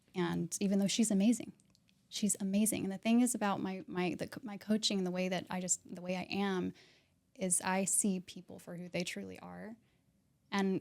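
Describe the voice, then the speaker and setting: A soft-spoken woman with an American accent, medium pitch, fairly even intonation and a moderate pace. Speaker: realtor and mindset coach. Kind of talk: podcast interview.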